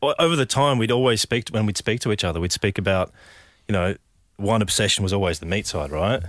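Talking at a very fast pace with lively intonation and very even loudness, a man with an Australian accent has a fairly low pitch in a dry, close sound with no echo. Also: very clean recording, silent background. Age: 30s. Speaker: business co-founder. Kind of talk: interview. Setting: studio.

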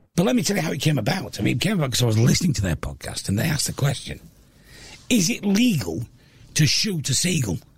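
A man with a Yorkshire accent at a very fast pace, fairly high in pitch, with very wide pitch swings. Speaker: radio host and comedian. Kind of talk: casual chat. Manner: talkative.

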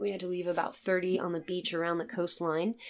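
In an American accent, a woman with a fairly low voice talks at a very fast pace. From Virginia, US. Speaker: seal rescue conservationist. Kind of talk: interview.

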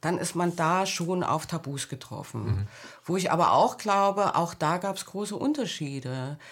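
A woman speaks in a normal speaking voice, pitched fairly low for a woman. Her pace is moderate and her intonation lively. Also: very clean recording, silent background. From East Germany (GDR). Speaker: book editor and author. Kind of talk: interview.

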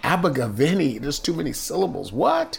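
Noticeable background noise sits behind a man's voice. He has a Southern Californian accent and speaks at a moderate pace. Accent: general American, Southern Californian. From San Diego, California. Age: 50s. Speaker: retired police officer. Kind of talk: casual interview recollection.

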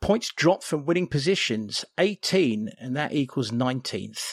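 With an English accent, a man talks at a moderate pace and with ordinary pitch variation in a dry, close sound with no echo. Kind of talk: casual chat.

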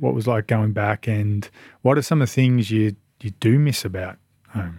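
Medium-pitched speech from a man with an Australian accent, moderate in pace and ordinary in pitch variation. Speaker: podcast host. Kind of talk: interview chat.

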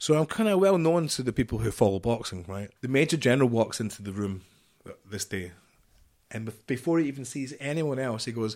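A man with a Glaswegian accent, fairly quick, animated and lively in intonation. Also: medium pitch for a man. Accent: Glaswegian Scottish. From Scotland, near Glasgow. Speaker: former marine commando and security chief. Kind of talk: interview storytelling.

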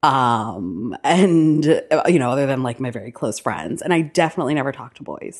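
With a quiet background, a woman speaks in an animated tone and lively intonation. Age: 30s. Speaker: romance author. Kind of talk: casual chat. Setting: in-person sit-down over cake. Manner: animated, laughing often.

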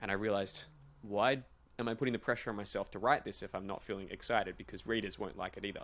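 Talking at a very fast pace with an Australian accent, this man has a fairly low voice and fairly even intonation. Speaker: podcast host. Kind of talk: casual chat.

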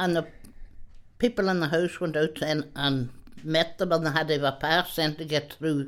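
At a moderate pace, a woman with a Donegal accent speaks with a very deep, low pitch and fairly even intonation. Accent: Irish (Donegal), rural. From Ireland, rural Donegal. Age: 80s+. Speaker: retired countrywoman, interviewee. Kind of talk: reminiscing interview. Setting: her home.

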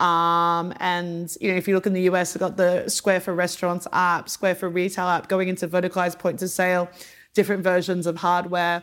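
Fairly quick, flat, monotone speech in an Australian accent. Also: woman, fairly low pitch for a woman. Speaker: business executive. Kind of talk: guest interview talk at a live event. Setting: live event with audience. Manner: casual, filler-heavy.

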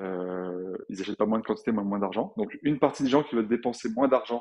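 This man's tone is dark and mellow, and he talks at a fairly quick pace with ordinary pitch variation. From France, Grenoble. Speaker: entrepreneur, clothing brand founder. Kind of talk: interview. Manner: hesitant, many fillers and repeats.

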